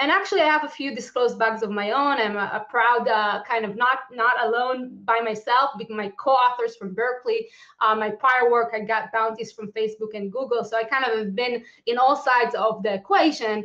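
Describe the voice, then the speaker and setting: Bright and sharp in tone, a woman speaks at a fairly high pitch. She moves at a fairly quick pace with hardly any pauses. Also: ordinary pitch variation. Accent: Israeli. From Israel, Tel Aviv. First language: Hebrew. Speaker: lawyer and security policy expert giving a conference talk. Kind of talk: conference talk. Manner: fast, with many fillers.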